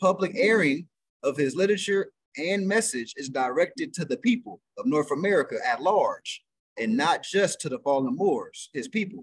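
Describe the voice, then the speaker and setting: A man's voice moves through very wide pitch swings. The sound is dry with no echo over a quiet background. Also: moderate pace. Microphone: video call.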